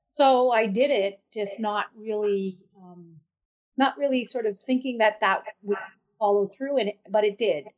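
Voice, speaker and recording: A woman talks at a fairly slow pace with a fairly high pitch. Her pitch varies in an ordinary way, while her loudness swings widely. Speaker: First Nation chief and lawyer. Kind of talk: interview conversation. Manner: hesitant, many fillers.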